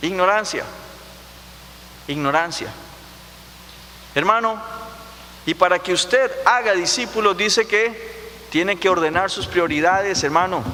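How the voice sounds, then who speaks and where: A man with a Costa Rican accent uses a raised, projected voice, high in pitch with ordinary pitch variation. He talks at a fairly slow pace with long, frequent pauses over noticeable background noise. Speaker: pastor. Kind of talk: sermon. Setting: church.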